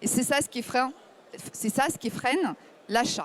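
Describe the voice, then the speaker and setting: A woman with a high voice talks at a middling speed. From Ukraine. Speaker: startup founder. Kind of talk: startup pitch.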